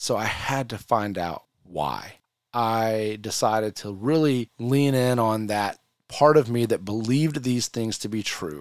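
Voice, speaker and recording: Here is a man with an ordinary speaking voice and medium pitch. He talks at a fairly slow pace with ordinary pitch variation. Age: 40s. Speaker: podcast host. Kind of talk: personal testimony.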